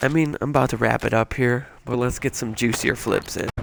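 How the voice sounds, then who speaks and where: There is noticeable background noise. A man with an American accent talks at a fairly quick pace. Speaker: video game streamer. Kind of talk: casual gaming stream with rant. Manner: halting, repetitive.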